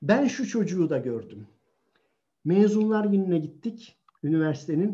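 Very slow speech from a man, set against a quiet background. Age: 60s. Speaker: author and sociologist. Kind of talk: online talk on child self-confidence. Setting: video call live stream. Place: home room. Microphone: video call.

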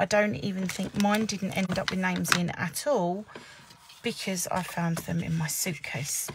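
A woman in an English accent, moderate pace and fairly even intonation, with noticeable background noise. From England. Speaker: papercraft demonstrator. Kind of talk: live craft tutorial. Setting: Facebook live stream at desk. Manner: casual chatty. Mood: chatty, lightly amused. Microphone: phone near.

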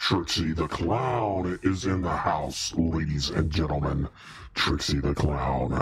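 The voice is a put-on character voice at a fairly slow pace. Background noise is clearly heard. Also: man, very deep, low pitch for a man. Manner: hyped up, announcer-like, playful.

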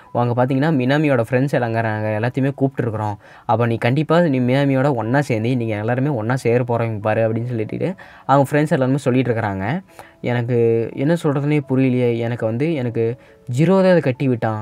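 An unremarkable speaking voice from a man, medium in pitch with ordinary pitch variation. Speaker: anime story narrator. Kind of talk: casual anime episode recap to viewers.

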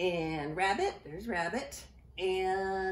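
Fairly even intonation in a natural reading voice

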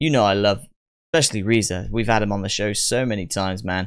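With little noise behind him, a man keeps up a fairly quick pace. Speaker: reaction show host. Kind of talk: casual reaction commentary. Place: home room. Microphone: studio mic.

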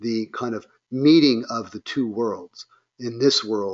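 Plain reading aloud is heard with little else in the quiet background.

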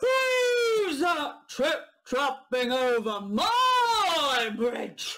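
A man bellowing in a put-on character voice at an extremely high pitch, with very wide pitch swings, a very slow pace and hardly any pauses. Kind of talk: children's story reading.

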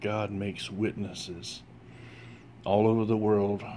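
A man talks at a very slow pace. Light background noise can be heard. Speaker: religious vlogger. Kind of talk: short sermon-like vlog message. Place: home room. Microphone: phone near.

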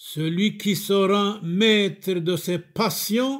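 A man's high-pitched voice, very slow, with a solemn, warm tone. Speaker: Syriac Orthodox chorbishop preaching to the faithful. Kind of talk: sermon / homily addressed to the faithful. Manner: solemn, pastoral, warm, delivered as a series of short declarative sayings and blessings.

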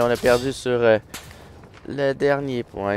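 In a Quebec accent, a man speaks at a very slow pace and a medium pitch. Music plays in the background. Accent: Québécois French. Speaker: gaming YouTuber. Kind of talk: live gameplay commentary. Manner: animated.

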